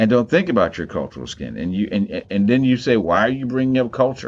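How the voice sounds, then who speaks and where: A man with an American accent talks at a fairly quick pace, his medium-pitched voice carrying lively intonation. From US, Maryland. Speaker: theologian and professor. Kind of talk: interview conversation. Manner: halting, frequent repetitions.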